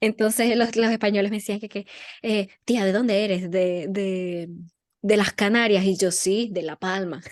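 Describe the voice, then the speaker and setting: Speaking at a fairly slow pace, the voice keeps its intonation fairly even. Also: woman, medium pitch for a woman. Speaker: podcast co-host. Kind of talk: casual chat. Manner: robotic-sounding.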